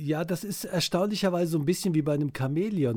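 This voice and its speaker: Recorded very cleanly against a silent background, a man speaks in a dark, mellow tone that is somewhat breathy. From Cologne, Germany. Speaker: dialect expert. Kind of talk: casual podcast chat.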